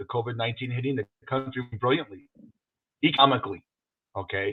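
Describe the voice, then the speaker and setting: Speaking at a very fast pace, the man keeps a medium pitch. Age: 60s. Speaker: podcast co-host. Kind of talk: casual chat. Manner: animated.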